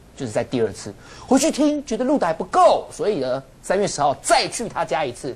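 This man speaks at a fairly quick pace in a high voice, his pitch swinging very widely. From Taiwan. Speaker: political commentator. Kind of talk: TV talk show panel. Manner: animated. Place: studio.

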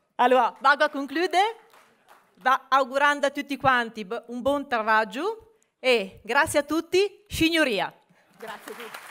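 A woman with a Genoese accent speaks at a fairly slow pace in a high pitch and a bright, sharp tone, with big swings in loudness. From Genoa, Liguria. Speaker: business association president. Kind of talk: welcome speech at a conference. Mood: warm, playful, smiling. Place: hall. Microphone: podium.

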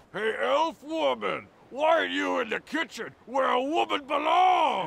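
A put-on character voice, shouting at a fairly slow pace. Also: man, extremely high pitch for a man. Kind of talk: comic overacting. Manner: mocking, taunting, provocative.

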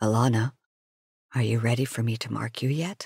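A raspy man's voice of medium pitch, fairly quick, with fairly even intonation and a dry, close sound with no echo. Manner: timid.

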